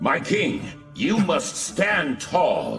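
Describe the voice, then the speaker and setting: Clear music plays in the background as a man speaks in a put-on character voice. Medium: fan dub. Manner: formal, calls master "my king".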